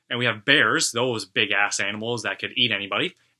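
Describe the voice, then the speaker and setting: A man speaks with a slight Canadian accent at medium pitch. His pace is moderate, and the recording is very clean with a silent background. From Canada. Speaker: metal YouTuber. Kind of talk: casual vlog monologue. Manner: casual, some hesitations.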